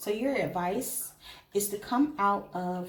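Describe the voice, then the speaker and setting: A woman's medium-pitched voice amid noticeable background noise and audible room echo. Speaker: tarot reader. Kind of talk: tarot reading. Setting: indoors by an open window. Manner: whispering; casual, chatty.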